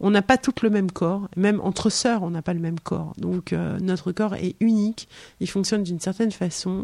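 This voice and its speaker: The tone is dark and mellow, with fairly even intonation at a moderate pace. The sound is dry and close, with no echo. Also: woman, medium pitch for a woman. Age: 50s. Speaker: author. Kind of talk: casual chat. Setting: in her home.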